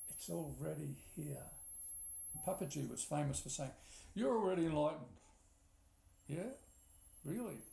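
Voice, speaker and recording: At a moderate pace, a man talks with long, frequent pauses, and the room echo is audible. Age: 60s. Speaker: spiritual teacher. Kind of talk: spiritual talk. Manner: repetitive, reflective.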